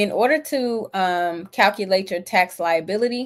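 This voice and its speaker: A woman uses a plain, everyday voice with ordinary pitch variation. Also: very clean recording, silent background. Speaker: livestream host teaching personal finance. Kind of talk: live-stream tutorial. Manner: casual, upbeat.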